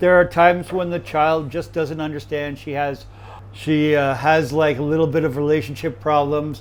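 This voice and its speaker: A man with an American accent talks at a moderate pace with fairly even intonation. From USA. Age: 60s. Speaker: chef. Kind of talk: interview. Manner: halting.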